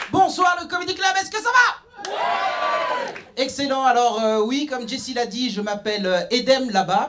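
An animated man's voice, raised and projected, extremely high-pitched, at a fairly slow pace with crowd noise behind. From Nyon, Switzerland. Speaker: stand-up comedian. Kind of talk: stand-up comedy. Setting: stage with audience. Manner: animated, punchy delivery with cheeky, provocative punchlines; confident, conversational storytelling with sarcastic asides. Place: stage. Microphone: handheld.

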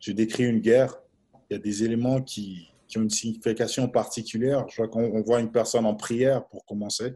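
A man speaks at a fairly quick pace in a dark, mellow tone with monotone, flat intonation and big swings in loudness. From DR Congo. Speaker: basketball coach; basketball coach interviewee. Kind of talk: interview; interview answer. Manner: halting. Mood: calm, reflective. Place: home room. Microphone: video call.

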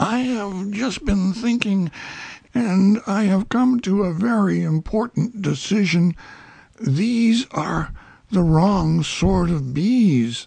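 In a put-on character voice, someone growls at a middle pitch, very slowly and with an anxious tone. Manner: earnest, slow-thinking, anxious.

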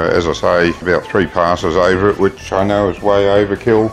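A man talks while faint music sounds in the background. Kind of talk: tutorial. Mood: calm, explanatory. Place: garage. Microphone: phone near.

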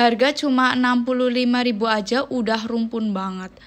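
A high-pitched woman's voice with fairly even intonation. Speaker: plant seller. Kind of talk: sales pitch. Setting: video showing plants to camera. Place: garden. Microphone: phone near.

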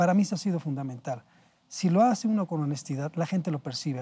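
A man talks at a very fast pace in a dark, mellow tone. His intonation is lively. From Mexico City (historic centre). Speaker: jazz pianist and composer; guest. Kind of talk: interview. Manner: halting. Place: studio. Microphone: lapel.

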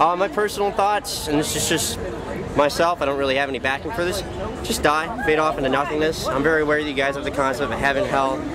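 A man rattles off his words very fast while loud noise fills the background. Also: ordinary pitch variation. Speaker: interviewee. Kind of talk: interview answer. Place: street. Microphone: phone near.

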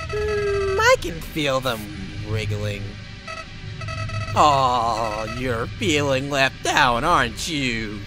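Loud music plays in the background as a man uses a put-on character voice at a medium pitch. His pace is very slow. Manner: taunting, gleeful, menacing.

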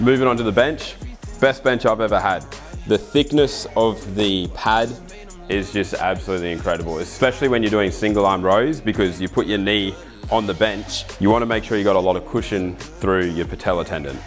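A man with a fairly low voice at a fairly quick pace, with faint music in the background. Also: ordinary pitch variation. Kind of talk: product walkthrough talk. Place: gym.

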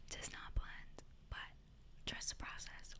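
Whispering, the woman keeps a fairly slow pace. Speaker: ASMR content creator. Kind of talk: ASMR talk to camera. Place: home room. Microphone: studio mic.

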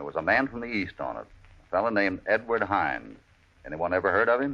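A man's put-on character voice, low-pitched with big swings, at a fairly quick pace

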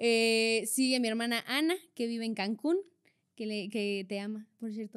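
A woman talks at a fairly slow pace in a normal speaking voice. Her pitch is fairly high, with ordinary pitch variation. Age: 20s. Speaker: actress. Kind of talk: casual chat.

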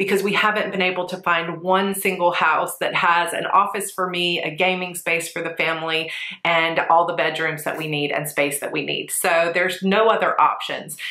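With audible room echo, a fairly low-pitched woman speaks at a moderate pace in a monotone, flat intonation. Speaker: planner vlogger. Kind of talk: casual vlog chat. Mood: stressed but composed. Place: home room.

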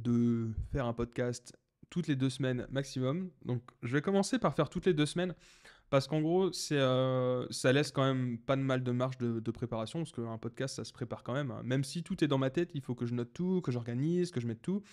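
Against a quiet background, a man speaks at a medium pitch with ordinary pitch variation. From Brittany, France. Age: 20s. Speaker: podcaster and entrepreneur; podcaster. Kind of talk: casual solo podcast monologue. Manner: halting, many fillers and restarts. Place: home room. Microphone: studio mic.

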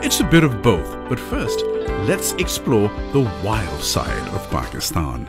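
With clear music in the background, a man speaks at a fairly slow pace. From Pakistan. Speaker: voice actor. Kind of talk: corporate documentary narration. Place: studio. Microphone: studio mic.

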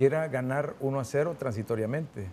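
With a dark, mellow tone and a somewhat breathy quality, a man talks with ordinary pitch variation over light background noise. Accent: Honduran. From Honduras. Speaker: sports TV host. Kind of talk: interview. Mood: warm, friendly. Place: studio. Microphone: lapel.

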